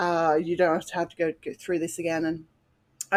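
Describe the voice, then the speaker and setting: A woman with an Australian accent and a fairly low pitch, in a very clean recording with a silent background. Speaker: podcast guest, mother. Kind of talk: personal testimony.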